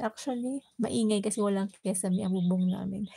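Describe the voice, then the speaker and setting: This soft-spoken woman talks fairly quickly at a medium pitch, her dark, mellow voice somewhat breathy and her intonation fairly even. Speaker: cooking and lifestyle livestreamer. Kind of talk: casual livestream chat. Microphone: voice may be too quiet.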